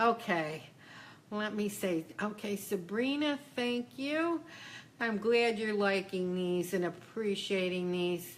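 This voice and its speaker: A woman's medium-pitched voice, very slow, with lively intonation. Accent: strong Western New York. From Western New York, Buffalo. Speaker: psychic and spiritual business coach. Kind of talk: Q&A coaching session. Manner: casual, conversational.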